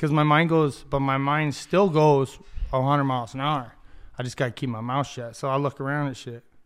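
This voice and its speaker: This man has an unremarkable speaking voice with an American accent, a fairly high pitch and fairly even intonation, talking at a fairly quick pace on a very clean recording with a silent background. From Ocotillo, US Southwest. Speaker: podcast co-host. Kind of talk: casual chat. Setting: studio.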